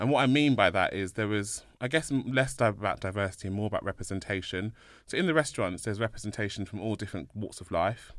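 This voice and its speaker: A man with a London accent talks at a very fast pace with hardly any pauses and ordinary pitch variation. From London, England. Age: 30s. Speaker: inclusion consultant, co-founder. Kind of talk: casual interview chat.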